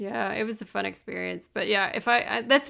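A woman speaks in a Midwestern American accent at a moderate pace. The recording is very clean, with a silent background. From US Midwest. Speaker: podcast co-host. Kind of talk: casual chat.

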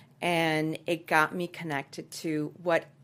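A woman with a Spanish accent speaks at a fairly low pitch in a very clean recording with a silent background. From Dominican Republic (Santo Domingo). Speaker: actress and producer. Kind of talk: interview. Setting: studio.

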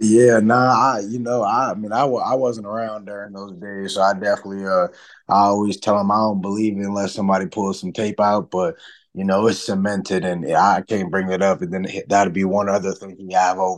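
A man's fairly low voice, a normal speaking voice, with fairly even intonation and big swings in loudness. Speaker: college football running back. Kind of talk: casual interview.

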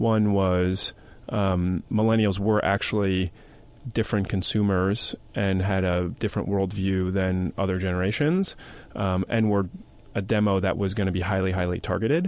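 Moderately paced and fairly low in pitch, a man talks with an ordinary speaking voice and fairly even intonation. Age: 20s. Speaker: media company CEO. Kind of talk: interview.

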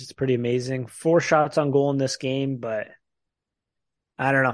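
Using an ordinary speaking voice, a man talks at a fairly quick pace with a medium pitch. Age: 20s. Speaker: hockey podcast host. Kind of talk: casual chat.

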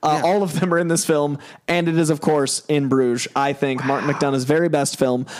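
At a very fast pace, a man with a fairly high pitch keeps very even loudness and fairly even intonation amid noticeable background noise. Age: 30s. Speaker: podcast guest. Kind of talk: casual chat.

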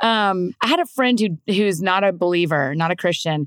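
A woman speaks in a fairly low voice with ordinary pitch variation, the sound dry and close with no echo. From US South. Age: 30s. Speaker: author and podcaster. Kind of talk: casual interview conversation.

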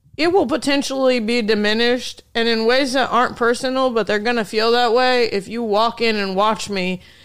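The speaker talks at a fairly quick pace with a Midwestern US accent and ordinary pitch variation. The recording is very clean, with a silent background. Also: woman. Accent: US Midwest. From Indiana, rural. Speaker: stand-up comedian. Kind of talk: casual chat. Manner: fast.

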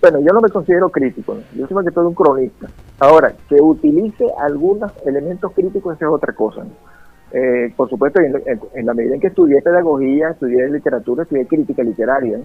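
This man talks at a very fast pace with lively intonation. He has a Venezuelan accent and a fairly high pitch. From Venezuelan llanos, Guárico. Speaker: writer and poet. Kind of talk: radio interview.

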